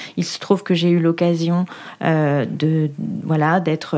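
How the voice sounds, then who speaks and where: A woman's fairly low voice at a fairly slow pace, with fairly even intonation and noticeable background noise. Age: 40s. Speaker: local politician. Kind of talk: interview testimony. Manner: hesitant, many fillers.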